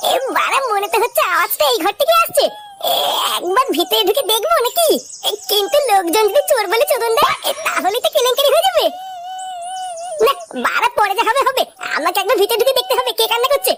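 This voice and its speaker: A cartoonish character voice at a fairly quick pace, with clear background noise. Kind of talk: comic cartoon voice acting. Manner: crude, swearing, brash.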